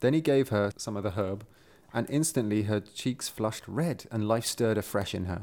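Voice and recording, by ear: With ordinary rises and falls in pitch, someone is reading aloud in a natural voice.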